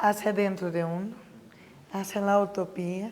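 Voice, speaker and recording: A woman speaks at a moderate pace. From Brazil. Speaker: professor of pedagogy. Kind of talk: interview.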